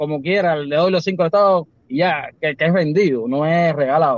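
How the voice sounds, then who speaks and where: A man's high voice with fairly even intonation. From Cuba, Villa Clara. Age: 40s. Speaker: Cuban farmer. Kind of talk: casual chat on a live stream call.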